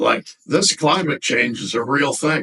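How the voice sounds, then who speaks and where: Very slowly, a man speaks at a fairly high pitch in a bright, sharp tone with lively intonation and vocal fry, the sound dry and close with no echo. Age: 80s+. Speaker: elderly storyteller sharing life wisdom. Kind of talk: casual interview. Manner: halting.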